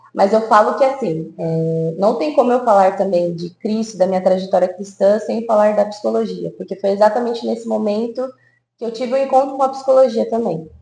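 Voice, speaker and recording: A woman's dark, mellow voice at medium pitch and a fairly quick pace. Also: ordinary pitch variation. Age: 20s. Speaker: psychologist. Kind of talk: podcast interview.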